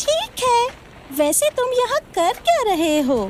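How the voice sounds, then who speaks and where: A put-on character voice at extremely high pitch with very wide pitch swings, fairly slow, over clear background noise. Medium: fan dub. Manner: mocking, cynical.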